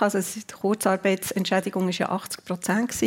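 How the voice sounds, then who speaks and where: The speaker is a woman with monotone, flat intonation. She keeps a moderate pace. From Switzerland, Zurich then Bern. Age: 50s. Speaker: department store executive. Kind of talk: radio interview. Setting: live radio show before audience.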